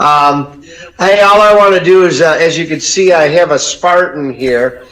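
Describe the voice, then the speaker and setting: A man with an American accent speaks at a moderate pace in a high voice, with ordinary pitch variation. There is noticeable background noise. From Detroit area, Michigan. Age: 60s. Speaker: caller, sports fan. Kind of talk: call-in chat.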